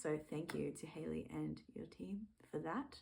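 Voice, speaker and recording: Speaking fairly slowly in an Australian accent, a woman has a fairly low pitch. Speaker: music fan and video creator. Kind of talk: casual vlog monologue. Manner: casual, many fillers.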